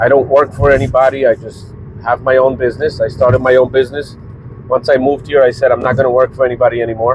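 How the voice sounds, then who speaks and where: The delivery is very fast, with monotone, flat intonation. Noticeable background noise runs underneath. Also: man, medium pitch for a man. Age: 40s. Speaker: vlogger and small business owner. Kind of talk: casual vlog monologue.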